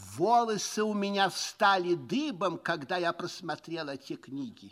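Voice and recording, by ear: Using a put-on character voice, a man talks at a fairly slow pace in a high pitch, his fairly bright tone marked by big pitch swings.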